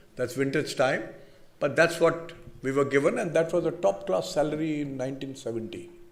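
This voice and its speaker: This man speaks with an Indian accent, and some room echo can be heard. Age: 70s. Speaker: business leader, convocation speaker. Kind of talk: convocation address. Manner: halting, repetitive restarts.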